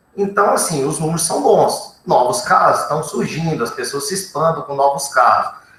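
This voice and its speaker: Fairly quick speech from a man amid audible room echo. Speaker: researcher on covid testing. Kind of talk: panel discussion answer.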